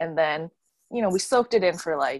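A woman with a western Canadian accent at a moderate pace, dry and close with no echo, on a very clean recording with a silent background. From Canada, Vancouver suburbs. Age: 20s. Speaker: brand photographer. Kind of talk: casual interview chat.

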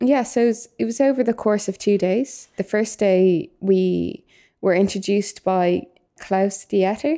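In a Dublin accent, a woman speaks at a medium pitch and a fairly slow pace with very even loudness. Her tone is dark and mellow, and the recording is very clean with a silent background. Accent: Dublin Irish. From Ireland, Dublin. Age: young (19). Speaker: youth volunteer podcaster. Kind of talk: casual discussion.

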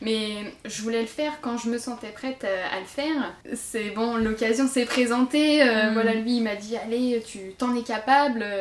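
Against noticeable background noise, a woman speaks fairly slowly at a fairly high pitch with fairly even intonation. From France, Marne (Champagne). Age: 20s. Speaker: nurse and amateur runner. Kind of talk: interview. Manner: hesitant, many fillers.

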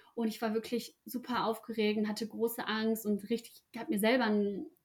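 This woman's fairly high, somewhat breathy voice moves at a moderate pace with fairly even intonation. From Ruhr area, Germany. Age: 20s. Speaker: apprentice. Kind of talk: interview.

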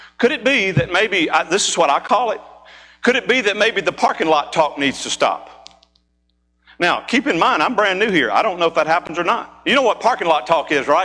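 Raised and projected, a man's high-pitched voice moves at a fairly quick pace with lively intonation. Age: 40s. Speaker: pastor. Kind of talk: sermon. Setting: church. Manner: animated.

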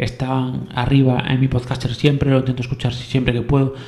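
A man's voice at medium pitch, with noticeable background noise. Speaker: podcast host. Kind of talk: casual solo podcast talk. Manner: fast; halting, many repetitions.

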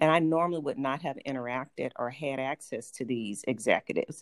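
With a slight Southern US accent, a woman speaks at a fairly quick pace in a very deep, low pitch with ordinary variation, recorded in a dry, close sound with no echo. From Atlanta, US South. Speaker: health insurance executive. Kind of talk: interview, professional talk.

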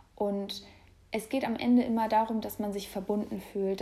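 This woman's voice sits at a medium pitch, with a dark, mellow tone and monotone, flat intonation. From Hamburg, northern Germany. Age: 20s. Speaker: podcast host. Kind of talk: casual solo monologue. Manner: casual, with fillers and laughter.

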